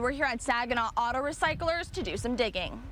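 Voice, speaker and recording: High-pitched woman's voice with very wide pitch swings, a moderate pace and noticeable background noise. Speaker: TV news reporter and anchor. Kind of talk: TV news anchoring and field reporting.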